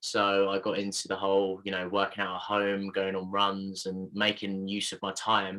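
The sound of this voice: With a bright, sharp tone, the voice moves at a moderate pace in a monotone, flat intonation. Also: man, low pitch for a man.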